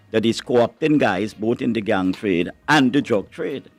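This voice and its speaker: With music in the background, a man of medium pitch speaks at a fairly quick pace and with ordinary pitch variation. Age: 70s. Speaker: pastor and anti-drug campaigner. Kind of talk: debate on a radio talk show.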